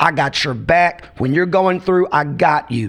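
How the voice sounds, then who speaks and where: A man with a high-pitched voice talks at a moderate pace with ordinary pitch variation over noticeable background noise. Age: 50s. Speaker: pastor. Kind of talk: casual chat.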